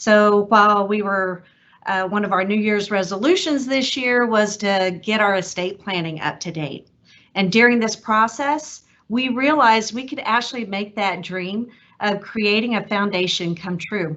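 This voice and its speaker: A woman with a Texas accent speaks at a medium pitch. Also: ordinary pitch variation, moderate pace. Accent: Texas twang. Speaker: donor. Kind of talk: prepared speech.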